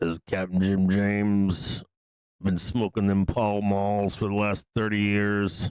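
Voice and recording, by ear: Doing a raspy put-on character voice, a man speaks fairly slowly at a fairly low pitch in a flat monotone.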